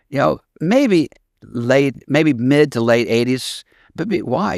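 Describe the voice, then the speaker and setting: In a very clean recording with a silent background and a dry, close sound with no echo, a man at medium pitch speaks at a moderate pace with lively intonation and vocal fry. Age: 70s. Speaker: former marijuana smuggler telling his story. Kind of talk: podcast interview.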